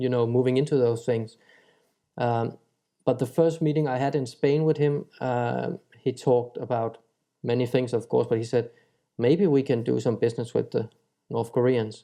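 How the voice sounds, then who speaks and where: With a dark, mellow tone and fairly even intonation, a man speaks at a medium pitch, leaving long, frequent pauses. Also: moderate pace. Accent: Danish. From Denmark. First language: Danish. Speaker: chef. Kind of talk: interview answer.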